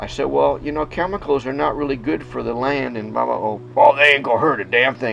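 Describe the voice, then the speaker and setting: Against noticeable background noise, a man with an American accent talks at a fairly quick pace with hardly any pauses. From US Midwest, inner-city Chicago. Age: 60s. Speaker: organic farmer. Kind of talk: casual talk to animals on farm; documentary interview. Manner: hesitant, with fillers.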